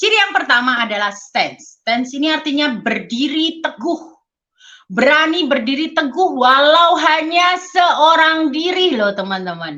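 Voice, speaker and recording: The voice is raised and projected, with a bright, sharp tone. It moves at a fairly slow pace through very wide pitch swings. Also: woman, high pitch for a woman. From Indonesia, Surabaya (East Java). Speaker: network marketing leader and motivational speaker. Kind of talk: motivational talk. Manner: casual, conversational.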